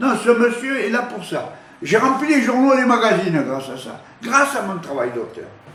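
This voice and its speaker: A man speaks at a moderate pace in an extremely high voice, with ordinary pitch variation and big swings in loudness. Room echo is audible, and background noise is noticeable. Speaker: photographer. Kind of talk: interview testimony. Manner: halting, many repetitions.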